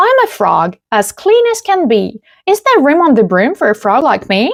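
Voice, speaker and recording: Using a put-on character voice, a woman speaks in a croaky, high pitch with very wide pitch swings at a moderate pace. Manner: polite, cheerful.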